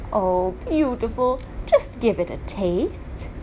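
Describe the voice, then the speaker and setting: Put-on character voice at a fairly slow pace, with clear background noise. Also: woman. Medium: read story. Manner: wheedling.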